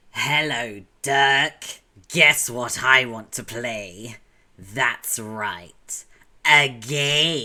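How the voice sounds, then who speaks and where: A man projects a put-on character voice at medium pitch. He speaks very slowly. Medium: virtual streamer. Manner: loud, shouting.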